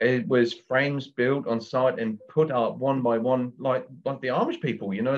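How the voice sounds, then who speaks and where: A man with a German accent speaks at a fairly slow pace. His pitch is medium, with ordinary variation. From Germany. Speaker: builder, construction business owner. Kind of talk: interview. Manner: hesitant, with many fillers.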